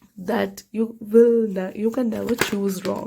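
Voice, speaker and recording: A woman with a non-native accent speaks in a fairly high, dark and mellow voice with fairly even intonation. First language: not English. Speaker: tarot reader. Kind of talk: tarot reading to camera. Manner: casual, halting with self-corrections.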